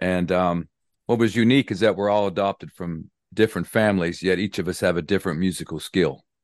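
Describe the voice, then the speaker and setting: A man with an American accent talks at a very fast pace in a very deep, low voice. The sound is dry and close with no echo, and the background is quiet. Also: ordinary pitch variation. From West Virginia (Clarksburg). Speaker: church music director and composer. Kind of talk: interview, casual chat.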